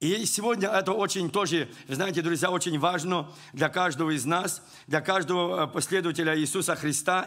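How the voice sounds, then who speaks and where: This man has a high pitch and a bright, sharp tone. His pitch varies in an ordinary way. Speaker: preacher. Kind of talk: sermon.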